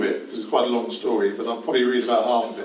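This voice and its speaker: A man speaks in a London accent. Noticeable background noise and audible room echo surround his voice. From London, England. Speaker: novelist and professor. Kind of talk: reading aloud. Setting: stage with audience.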